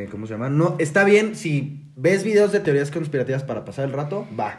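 With audible room echo around him, a man talks at a moderate pace in a somewhat breathy voice. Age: 20s. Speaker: podcast guest. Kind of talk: casual chat.

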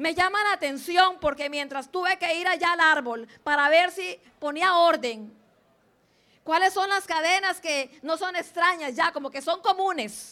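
A woman speaks at an extremely high pitch in a raised, projected voice. Her tone is bright and sharp. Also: ordinary pitch variation. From Limón, Costa Rica (born in Guanacaste). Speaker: school principal. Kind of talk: speech to students at school assembly. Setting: school assembly.

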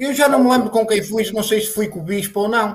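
The delivery has a moderate pace and fairly even intonation. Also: man. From northern Portugal, Santa Marta de Penaguião (Vila Real). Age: 40s. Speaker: former Olympic runner. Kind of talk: casual interview chat. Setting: video call.

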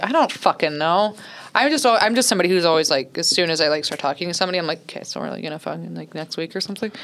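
With an American accent, a woman talks at a very fast pace in a fairly low pitch and ordinary pitch variation. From Oceanside, San Diego County, California. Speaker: stand-up comedian. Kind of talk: casual chat.

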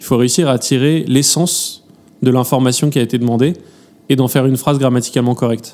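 A man's medium-pitched voice races along at a very fast pace with ordinary pitch variation. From France. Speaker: AI entrepreneur. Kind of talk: panel discussion.

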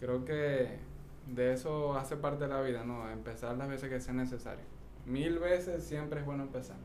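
Noticeable background noise and audible room echo surround a man who talks at a moderate pace with a medium pitch and fairly even intonation. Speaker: podcast co-host. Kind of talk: casual chat.

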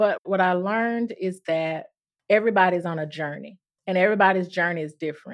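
Speaking at a fairly quick pace, a woman with a Mississippi accent keeps a medium pitch and ordinary pitch variation. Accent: US Southern (Mississippi). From Mississippi, Durant. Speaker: nurse practitioner. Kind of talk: casual chat.

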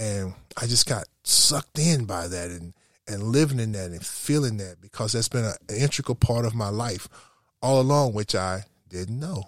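A man's ordinary speaking voice at medium pitch and moderate pace, dry and close with no echo, in a very clean recording with a silent background. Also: lively intonation. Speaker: pastor. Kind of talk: casual interview conversation.

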